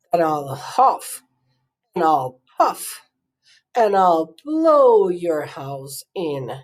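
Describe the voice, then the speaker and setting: A put-on character voice at a middle pitch moves at a very slow pace with long, frequent pauses. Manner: shouting, threatening.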